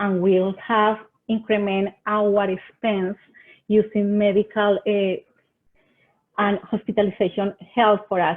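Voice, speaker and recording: A woman with a Colombian accent at medium pitch and a very slow pace. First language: Spanish. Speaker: extension agent. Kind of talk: webinar presentation. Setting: online webinar. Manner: halting.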